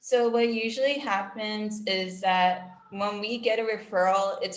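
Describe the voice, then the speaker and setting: A woman at a moderate pace, with fairly even intonation and audible room echo. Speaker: special education staff trainer. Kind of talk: staff training presentation.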